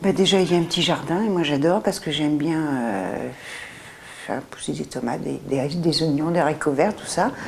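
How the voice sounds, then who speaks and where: Noticeable background noise runs under the recording. A woman talks over it in a very deep, low pitch. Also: moderate pace. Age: 70s. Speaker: future tenant. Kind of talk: interview.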